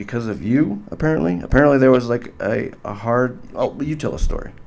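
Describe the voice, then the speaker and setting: A man with a plain, everyday voice talks at a fairly quick pace and medium pitch, his intonation lively. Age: 40s. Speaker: podcast host. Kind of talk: casual chat.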